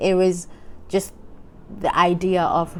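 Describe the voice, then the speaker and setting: A woman is speaking. Her pitch is fairly low. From South Africa, Durban. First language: not English; Shona, Zulu and Sotho background. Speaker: writer and vlogger. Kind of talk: casual chat. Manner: halting, many fillers and restarts.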